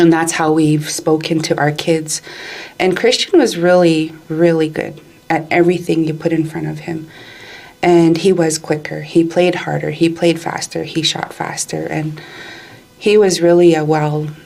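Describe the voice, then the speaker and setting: Noticeable background noise sits behind a woman speaking at a moderate pace. Her fairly low voice stays flat and monotone. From Alberta, Canada. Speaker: community leader and advocate. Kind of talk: podcast interview answer, personal story.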